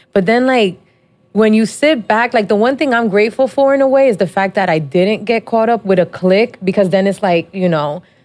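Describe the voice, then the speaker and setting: A woman with an American accent and a normal speaking voice, medium in pitch, with lively intonation, very even loudness and a fairly quick pace. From New Jersey, Dominican family. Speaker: podcast host. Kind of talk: casual chat.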